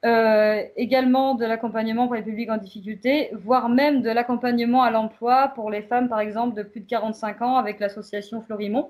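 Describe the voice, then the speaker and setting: Hardly pausing, a woman talks in a fairly high voice with monotone, flat intonation. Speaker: community association worker. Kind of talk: prepared talk on community radio. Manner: hesitant, many fillers.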